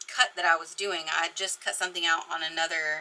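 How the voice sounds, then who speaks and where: Using ordinary pitch variation, a woman with an American accent speaks at a moderate pace. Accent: Texan, comes out at times. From East Texas. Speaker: crafting YouTuber. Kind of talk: casual craft tutorial. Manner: chatty, rambling.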